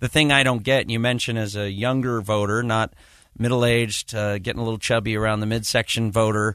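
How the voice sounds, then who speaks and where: A man speaks in a normal speaking voice at a medium pitch and fairly quick pace against a quiet background. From Utah. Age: 40s. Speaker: guest radio host, political commentator. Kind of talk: talk radio discussion.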